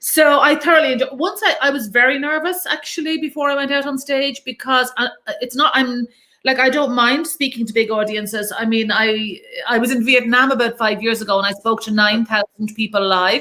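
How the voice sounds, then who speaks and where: In an Irish accent, a woman talks at a fairly quick pace. Her pitch sits high. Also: ordinary pitch variation. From Ireland, Dublin. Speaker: charity founder and inspirational speaker. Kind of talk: interview on a live stream. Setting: live stream video call. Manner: fast; animated.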